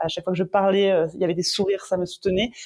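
A woman speaks at a medium pitch. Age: 30s. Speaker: entrepreneur. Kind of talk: interview. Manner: halting.

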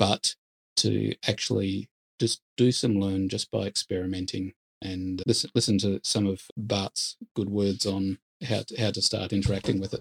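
With an Australian accent, a man speaks in a somewhat breathy, monotone voice with a dry, close sound and no echo. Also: fairly low pitch for a man, moderate pace. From Australia (Perth). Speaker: marketing agency founder. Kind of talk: interview.

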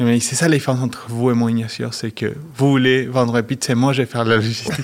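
This is a man's voice. He speaks with a Spanish accent. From Argentina. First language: Spanish (speaking French). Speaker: company managing director. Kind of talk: interview.

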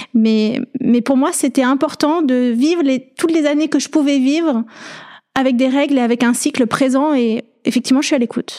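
Her high-pitched voice has a dark, mellow tone, fairly even intonation and very even loudness. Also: moderate pace. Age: 40s. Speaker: podcaster. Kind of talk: interview. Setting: in person at guest's home.

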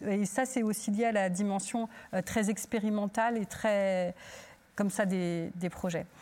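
With an ordinary speaking voice, a woman talks at a fairly slow pace, her medium pitch holding fairly even intonation and very even loudness. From Turkey. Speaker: theatre director. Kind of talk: panel discussion.

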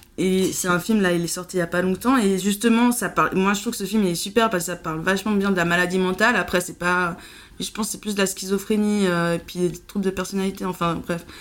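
Fairly even intonation marks a woman's very fast delivery. Her recording is very clean, the background silent. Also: medium pitch for a woman. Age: 30s. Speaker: podcast guest sharing mental illness experience. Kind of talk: casual chat. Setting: at her home. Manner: halting.

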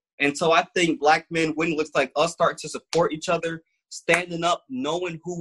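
Bright, sharp, high-pitched male voice in an American accent at a moderate pace. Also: dry, close sound with no echo. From Grand Rapids, Michigan. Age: 20s. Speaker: motivational speaker and community activist. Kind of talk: casual interview.

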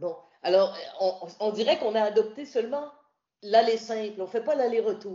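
Speaking at a moderate pace with long, frequent pauses, a woman uses a fairly high pitch and ordinary pitch variation. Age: 60s. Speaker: radio host and journalist, retired. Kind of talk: interview about hiking pilgrimage.

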